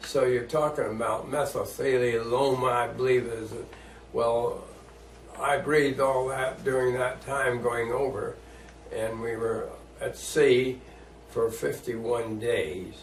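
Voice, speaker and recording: The pace is very slow as a man speaks. Noticeable background noise runs underneath. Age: 80s+. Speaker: war veteran. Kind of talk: interview answer.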